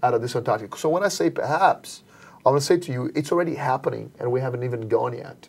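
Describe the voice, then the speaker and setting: Music plays in the background while the speaker goes at a very fast pace with ordinary pitch variation. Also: man, fairly high pitch for a man. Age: 40s. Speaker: entrepreneur. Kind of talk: webcast interview. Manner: animated.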